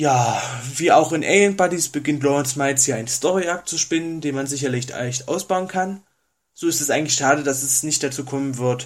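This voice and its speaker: A man with a fairly high voice talks fairly quickly, his pitch varying in an ordinary way. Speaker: listener sending in a recorded review. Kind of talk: recorded review read from notes. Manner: reading from notes, several takes.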